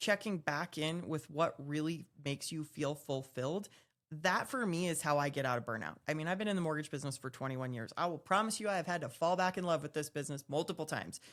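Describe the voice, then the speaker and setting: In a very clean recording with a silent background, a woman with a normal speaking voice talks at a fairly quick pace, her fairly low pitch carried by lively intonation. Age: 40s. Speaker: podcast co-host, mortgage professional. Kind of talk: casual panel discussion.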